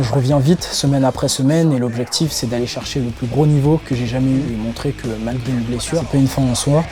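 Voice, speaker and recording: Very fast male speech with fairly even intonation over music in the background. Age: 20s. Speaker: powerlifter. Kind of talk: interview testimony.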